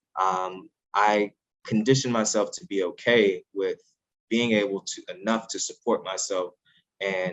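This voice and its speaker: Delivered at a moderate pace, the clip features a normal speaking voice. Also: man. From US Midwest, North St. Louis area. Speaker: scientist and author. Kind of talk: interview.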